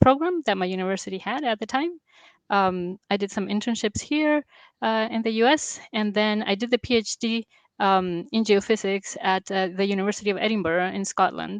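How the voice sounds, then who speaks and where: Ordinary pitch variation with a Latin American accent, in a dry, close sound with no echo against a quiet background. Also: woman. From Venezuela and Colombia. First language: Spanish. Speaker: geophysicist. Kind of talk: interview. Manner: hesitant.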